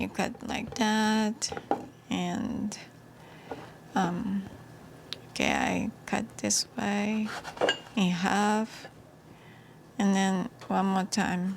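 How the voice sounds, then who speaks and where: Speaking with a Japanese accent at a medium pitch, a woman talks very slowly in a monotone, flat intonation with long, frequent pauses over noticeable background noise. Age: 60s. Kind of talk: cooking tutorial to camera. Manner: hesitant, many fillers.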